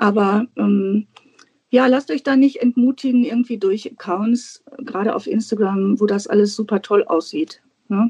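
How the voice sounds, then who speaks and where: At a fairly slow pace, a woman with a fairly high pitch and ordinary pitch variation is recorded with a dry, close sound with no echo. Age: 50s. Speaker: guest on a planner podcast, teacher. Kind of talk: casual interview chat. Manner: hesitant, many filler sounds.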